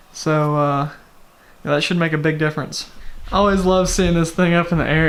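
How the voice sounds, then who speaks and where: Flat, monotone speech at a fairly quick pace, with audible room echo. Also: man. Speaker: car enthusiast vlogger. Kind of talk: casual vlog tutorial.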